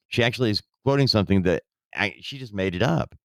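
A man's pitch swings very widely. The recording is very clean and dry, close, with a silent background and no echo. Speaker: podcast host. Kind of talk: casual political commentary chat.

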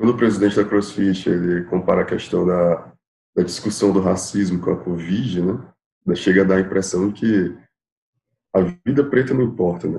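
With a dark, mellow tone and very deep, low pitch, a man speaks at a moderate pace and with ordinary pitch variation. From Piauí, northeast Brazil. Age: 20s. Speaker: public attorney. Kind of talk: casual chat.

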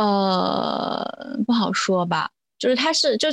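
In a very clean recording with a silent background, a woman with a fairly high pitch speaks at a very slow pace with lively intonation. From rural China. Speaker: religious studies graduate student. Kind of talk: casual chat.

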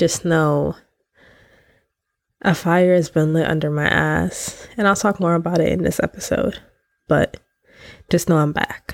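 A woman with a low, nasal voice and vocal fry speaks at a fairly slow pace with fairly even intonation and long, frequent pauses.

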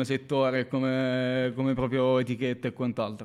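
Pitched in the middle range, a man's voice proceeds at neither a fast nor a slow rate. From southern Italy, Basilicata (Marconia, province of Matera). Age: 20s. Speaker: barista and music/basketball fan. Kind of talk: casual chat.

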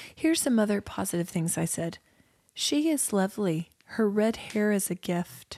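With a dark, mellow tone, a woman speaks at medium pitch and a moderate pace. Her pitch swings very widely while her loudness stays very even. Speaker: comedy podcast co-host. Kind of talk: casual comedic banter.

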